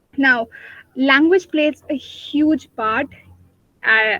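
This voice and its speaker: Recorded with a dry, close sound and no echo, the speaker talks with a Pakistani accent. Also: woman. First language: Urdu. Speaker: debater and guest speaker. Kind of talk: webinar talk. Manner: halting, many fillers.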